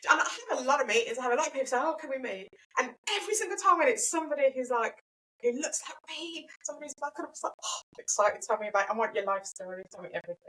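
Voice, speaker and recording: A woman with a Birmingham accent talks at a very fast pace in a raised, projected, high-pitched voice, with very wide pitch swings and big swings in loudness. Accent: Birmingham (Brummie). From Birmingham, England. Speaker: brand and web designer, business owner. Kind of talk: podcast interview. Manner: animated.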